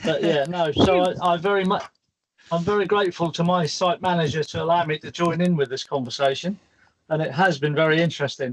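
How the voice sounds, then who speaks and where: The man's voice is high in pitch. Its variation is ordinary. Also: fairly quick pace. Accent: British. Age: 60s. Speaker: crane operator and lifting specialist. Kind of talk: virtual career panel talk. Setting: video call from work.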